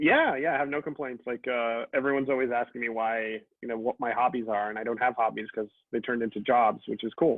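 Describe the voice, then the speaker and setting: This voice carries a Miami accent and fairly even intonation. The pace is very fast. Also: man, medium pitch for a man. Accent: American English, Miami. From Miami, Florida (Cuban American family). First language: Spanish. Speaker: writer and comics editor. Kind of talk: interview.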